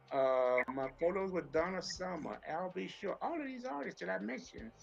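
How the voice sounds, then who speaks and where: A high-pitched man with an American accent at a moderate pace, very wide pitch swings and noticeable background noise. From Atlanta, Georgia, US South. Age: 60s. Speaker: author and former music industry executive. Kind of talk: podcast interview. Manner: conversational, with fillers and repetitions.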